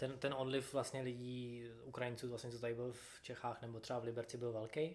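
With flat, monotone intonation, a man speaks in a medium pitch. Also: fairly quick pace. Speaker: podcast host. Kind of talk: casual interview.

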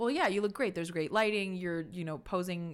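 Heard on a very clean recording with a silent background, a woman has an ordinary speaking voice, fairly low in pitch, with ordinary pitch variation. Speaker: podcast host. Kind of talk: casual chat.

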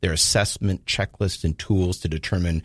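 Somewhat breathy speech in a Southern California accent comes with fairly even intonation, a dry, close sound with no echo, and a very clean recording with a silent background. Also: man. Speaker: ministry leader, abuse prevention advocate. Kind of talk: interview. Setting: studio.

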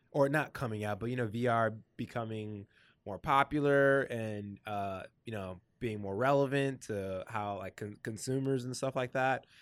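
A man with an unremarkable speaking voice talks at a moderate pace, medium in pitch with ordinary pitch variation. The recording is very clean, with a silent background. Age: 20s. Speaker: podcast host, designer. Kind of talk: casual interview chat.

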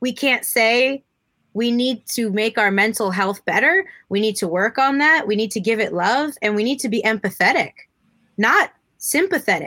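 With lively intonation, a woman talks in a fairly high, bright and sharp voice. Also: moderate pace. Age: 30s. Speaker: professional wrestler. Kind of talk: casual chat.

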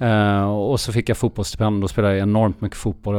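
A plain, everyday voice from a man, fairly low in pitch with fairly even intonation, on a very clean recording with a silent background. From Sweden, raised partly abroad (Finland, Australia, Geneva). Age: 50s. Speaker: endurance sports entrepreneur. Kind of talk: interview.

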